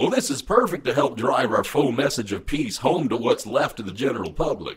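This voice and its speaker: Putting on a raspy character voice, a man talks at a fairly quick pace with a medium pitch. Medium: comedy sketch. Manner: calm, calculating.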